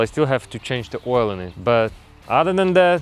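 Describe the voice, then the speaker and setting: Here a man talks with a non-native accent. His intonation is lively. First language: not English. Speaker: DIY mechanic YouTuber. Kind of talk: tutorial. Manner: halting.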